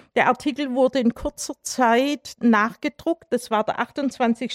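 A woman's high-pitched voice in a Swabian accent, very slow, dry and close with no echo, on a very clean recording with a silent background. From Swabia, Germany (Herrenberg). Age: 60s. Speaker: human rights activist, mathematician. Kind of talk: lecture. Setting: public talk with audience.

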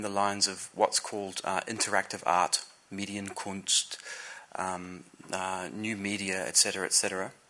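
Amid noticeable background noise, a man speaks at a moderate pace with a fairly low pitch. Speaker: artist giving a talk. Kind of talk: lecture. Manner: halting.

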